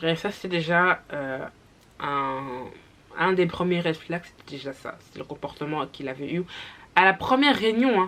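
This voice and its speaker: Lively intonation and big swings in loudness mark this fairly slow delivery. Long, frequent pauses break up the speech. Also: woman, fairly low pitch for a woman. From Flanders, Belgium. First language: Dutch (speaking French). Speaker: YouTuber. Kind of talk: storytime. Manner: hesitant, many fillers.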